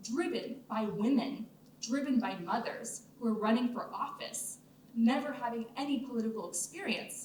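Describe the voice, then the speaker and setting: A woman's high-pitched voice with an American accent, ordinary pitch variation and a moderate pace, with audible room echo. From California, US. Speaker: writer and film producer. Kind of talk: Q&A talk at film festival. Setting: stage with audience.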